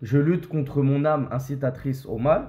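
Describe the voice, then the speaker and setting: A man's somewhat breathy, fairly high voice, dark and mellow in tone, at a fairly slow pace, with audible room echo. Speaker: imam and religious teacher. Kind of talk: religious lecture.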